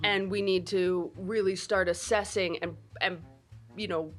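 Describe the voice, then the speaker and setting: A woman at medium pitch, fairly slow and fairly even in intonation, with music in the background. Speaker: podcast host. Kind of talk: casual interview conversation.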